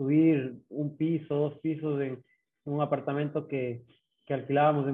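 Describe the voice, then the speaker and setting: A fairly high male voice, intonation fairly even. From Ecuador, Ambato (Sierra highlands). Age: 30s. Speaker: ultra triathlete. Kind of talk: interview. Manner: halting, many repeated words.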